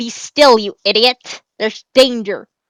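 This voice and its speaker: A woman's put-on character voice, growling and fairly high-pitched, at a fairly slow pace. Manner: urgent, growling.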